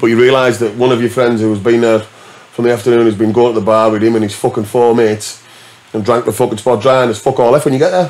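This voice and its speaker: A man with a northern English accent and medium pitch speaks at a very fast pace with fairly even intonation. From northern England. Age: 40s. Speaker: DJ; podcast guest. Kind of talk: casual chat. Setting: studio. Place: studio. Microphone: studio mic.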